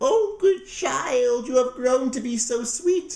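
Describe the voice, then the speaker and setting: A man uses a put-on character voice with an extremely high pitch. He speaks at a fairly slow pace. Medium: read story. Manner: wheedling, falsely sweet.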